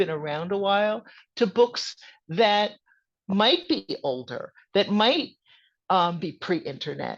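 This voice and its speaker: A woman with an American accent speaks in a plain, everyday voice at a medium pitch and a fairly slow pace. Her intonation is lively, and the background is quiet. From US Northeast, New Jersey suburbs. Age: 60s. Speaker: author and witchcraft teacher. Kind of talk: podcast interview.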